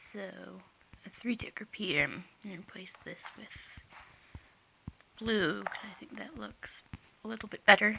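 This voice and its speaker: A whisper at a moderate pace, with long, frequent pauses. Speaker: Minecraft redstone builder. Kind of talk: game tutorial narration. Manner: hesitant, casual.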